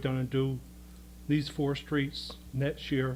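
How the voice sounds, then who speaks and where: The man speaks at medium pitch in a monotone, flat intonation. His voice is somewhat breathy. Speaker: resident speaking at public comment. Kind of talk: public comment at town board meeting. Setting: town board meeting, speaking at a microphone.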